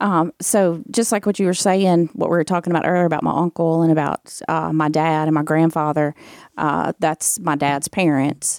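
A woman with a Southern US accent and a fairly low pitch talks at a moderate pace with very even loudness and ordinary pitch variation, the sound dry and close with no echo. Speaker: guest sharing her life story. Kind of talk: testimony. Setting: studio.

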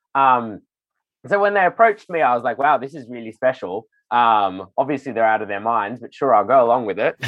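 Speaking with an Australian accent, a man talks at a fairly quick pace in a medium pitch. His intonation is lively, and his loudness swings widely. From Sydney, Australia. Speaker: drag performer and entertainment manager. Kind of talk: interview. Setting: remote audio call.

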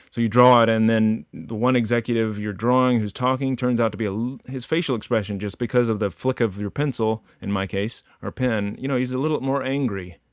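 Man at medium pitch with a slight Texan accent, ordinary pitch variation and hardly any pauses, on a very clean recording with a silent background. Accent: slight Texan drawl. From Texas, Denton (north of Dallas), rural. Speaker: cartoonist and author. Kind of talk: casual interview chat.

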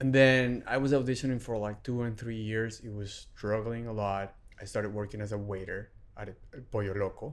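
Speaking with a Spanish accent, a man holds a medium pitch and fairly even intonation at a moderate pace. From Venezuela. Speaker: fitness brand founder and author. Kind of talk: casual interview, storytelling.

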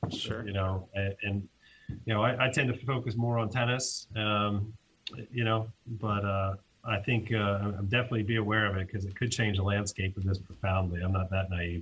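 This man speaks at a fairly quick pace with fairly low pitch and fairly even intonation. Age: 40s. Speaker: college tennis head coach. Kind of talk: casual interview. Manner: halting, many fillers and repeats.

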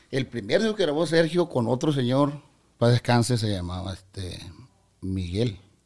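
The man's pitch sits in the medium range but takes very wide swings. His pace is moderate. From Mexico, Sonora (Ciudad Obregón). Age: 40s. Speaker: regional Mexican musician. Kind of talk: casual interview chat. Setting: studio.

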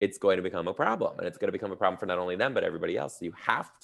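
A man speaks with an American accent. He talks at a very fast pace. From Detroit, Michigan, US Midwest. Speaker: teacher turned stand-up comedian. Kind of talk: casual interview chat. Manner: animated, chatty.

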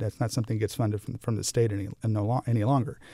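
In a very clean recording with a silent background and a dry, close sound with no echo, a man speaks at medium pitch in a dark, mellow tone with fairly even intonation. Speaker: incoming school board member. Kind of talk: radio interview. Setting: studio.

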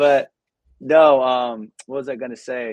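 A man with a Southern Californian accent speaks at a medium pitch, recorded dry and close with no echo. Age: 40s. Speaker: comedian. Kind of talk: casual chat. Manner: animated.

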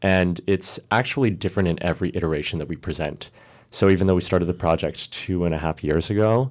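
Speaking at a fairly quick pace, a man uses a very deep, low voice with a Canadian accent. His pitch varies in an ordinary way. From Canada (Toronto), Hong Kong family. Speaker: theater creator and performer. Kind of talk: radio roundtable discussion. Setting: radio studio.

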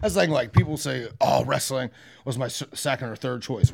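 With lively intonation and some vocal fry, a man with an American accent talks at a moderate pace in a medium pitch, recorded very cleanly against a silent background. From US Midwest, Logan County, Ohio. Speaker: pro wrestler. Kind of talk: interview. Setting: in person at wrestling tapings. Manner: loud.

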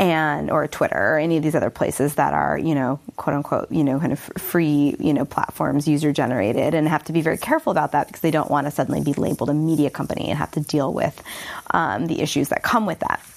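Over noticeable background noise, a woman talks very fast in a very deep, low pitch with ordinary pitch variation. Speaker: guest media industry commentator. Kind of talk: casual interview-style discussion of media news.

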